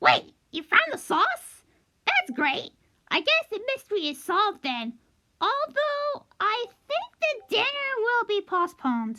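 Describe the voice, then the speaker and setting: A put-on character voice sounds squeaky at an extremely high pitch. It goes at a fairly slow pace with very wide pitch swings. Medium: read story. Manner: chatty, matter-of-fact.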